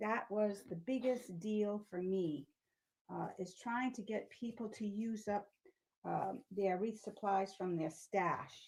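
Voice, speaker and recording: In a Boston accent, a woman speaks fairly slowly and somewhat breathily, with ordinary pitch variation. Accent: Boston-area New England. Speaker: wreath-making tutorial host. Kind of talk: live-stream crafting tutorial, reading viewer comments. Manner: casual, hesitant with fillers.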